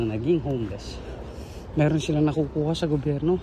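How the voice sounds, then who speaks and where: This man has a fairly high pitch and a dark, mellow tone. His voice is somewhat breathy, with ordinary pitch variation. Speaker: vlogger. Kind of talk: casual vlog narration. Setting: outdoors, walking. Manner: softer, lowered voice.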